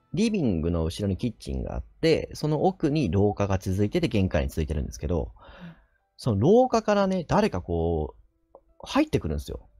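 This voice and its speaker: Faint music plays behind a man who talks at a fairly quick pace. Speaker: nurse and ghost story teller; ghost story teller. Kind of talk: ghost story telling in conversation.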